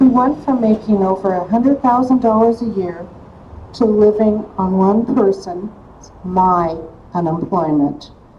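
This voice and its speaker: A woman at a very slow pace, with ordinary pitch variation, over noticeable background noise. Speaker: activist and organizer, former mental health therapist. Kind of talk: rally speech. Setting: rally.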